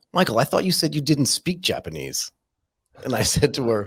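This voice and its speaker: A man with an American accent, medium pitch, lively intonation, vocal fry and a fairly quick pace. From California, US. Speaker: podcast host. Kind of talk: casual interview chat.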